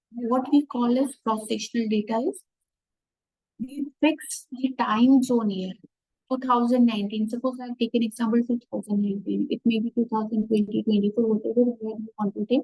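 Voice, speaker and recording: A woman's fairly high voice with a dark, mellow tone, moderate pace, and a dry sound with no echo against a quiet background. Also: fairly even intonation. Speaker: professor of finance. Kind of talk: online workshop lecture. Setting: video call. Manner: quiet at first, then louder. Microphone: too quiet; webcam.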